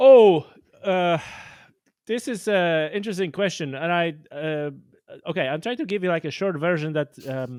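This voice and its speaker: A man with a Polish accent talks at a moderate pace in a high voice with lively intonation, leaving long, frequent pauses, on a very clean recording with a silent background. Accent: Polish accent, non-native. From Poland. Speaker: podcast host and angler. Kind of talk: casual interview chat. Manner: halting, many fillers and restarts.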